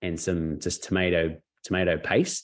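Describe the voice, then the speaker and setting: In an Australian accent, a man speaks with a very deep, low pitch. His intonation stays fairly even. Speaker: network marketing mentor. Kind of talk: webinar interview storytelling. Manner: fast; casual, halting with fillers.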